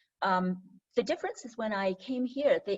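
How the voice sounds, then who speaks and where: Somewhat breathy, a woman with a fairly high pitch speaks at a moderate pace. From Hong Kong. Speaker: registered dietitian. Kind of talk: interview.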